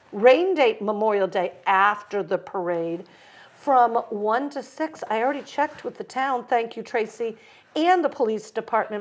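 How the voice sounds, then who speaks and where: Her intonation lively, a woman talks at a high pitch. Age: 60s. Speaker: community event producer. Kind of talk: casual interview chat. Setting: library studio set. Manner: animated.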